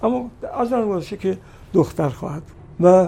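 Here a man talks at a very fast pace. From Iran, Kashan. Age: 90s. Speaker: singer and composer. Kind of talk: interview.

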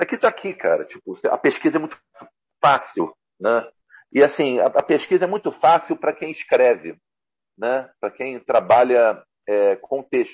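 Long, frequent pauses in a man's fairly slow delivery. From Rio de Janeiro, Brazil. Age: 50s. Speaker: comics journalist and translator. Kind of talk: casual interview chat.

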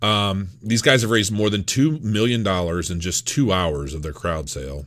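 A man's lively intonation at a moderate pace, in a very clean recording with a silent background. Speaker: crypto YouTuber. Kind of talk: video review. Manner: halting.

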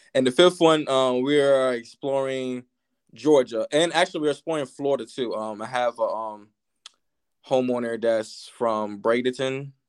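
Here a man speaks at a medium pitch. His pace is moderate and his pitch varies in an ordinary way. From Virginia, US. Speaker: real estate wholesaler. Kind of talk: casual chat. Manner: halting, many filler ums.

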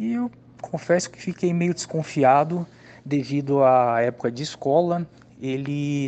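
A man speaks in a plain, everyday voice, fairly high in pitch. He goes at a fairly slow pace with ordinary pitch variation. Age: 30s. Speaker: customer testimonial. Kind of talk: testimony.

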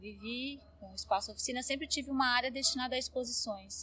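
Here is a woman with a plain, everyday voice at fairly high pitch. She moves at a fairly quick pace with ordinary pitch variation. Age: 50s. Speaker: art curator and gallery owner. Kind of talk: interview.

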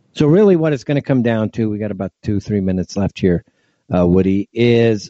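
A medium-pitched man's voice with a Californian accent. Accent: general American, Californian. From US West Coast. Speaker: radio talk show host. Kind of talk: casual talk radio. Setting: home broadcast from Jordan. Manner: laid-back, rambling.

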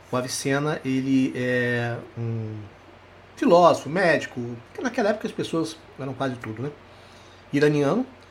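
A man's fairly high voice with lively intonation, big swings in loudness, long and frequent pauses, and audible room echo. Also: moderate pace. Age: 60s. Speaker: psychologist and hypnosis teacher. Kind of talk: live online lecture.

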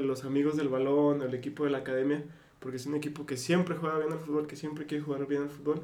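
A man's fairly high, monotone, flat voice at a very fast pace, with audible room echo and noticeable background noise. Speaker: podcast co-host. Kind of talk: casual chat.

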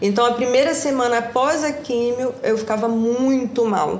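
The speech moves at a moderate pace with fairly even intonation. Audible room echo and noticeable background noise fill the recording. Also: woman. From Brazil, Rio de Janeiro state (Valença). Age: 40s. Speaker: physiotherapist, cancer survivor. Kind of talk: interview, personal testimony.

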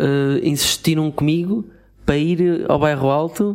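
A man with a European Portuguese accent talks at a fairly slow pace with ordinary pitch variation. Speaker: podcast co-host. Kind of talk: casual chat.

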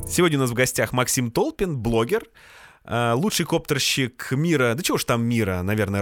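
This man talks at a moderate pace with very even loudness, in a dry, close sound with no echo. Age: 30s. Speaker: podcast host. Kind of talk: casual chat.

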